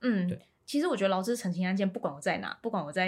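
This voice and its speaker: Ordinary pitch variation comes through in this somewhat breathy voice. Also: woman. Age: 30s. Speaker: local council candidate. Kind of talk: interview.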